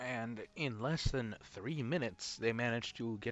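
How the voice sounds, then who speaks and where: In a plain, everyday voice, a man holds a medium pitch and varies it in an ordinary way. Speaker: YouTube reviewer. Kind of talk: video review recap. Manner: casual with many fillers.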